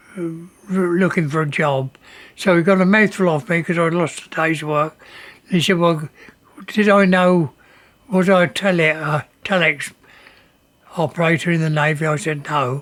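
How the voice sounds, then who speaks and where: Using a high pitch and fairly even intonation, a man talks at a moderate pace with long, frequent pauses. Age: 80s+. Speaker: former print worker. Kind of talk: interview testimony.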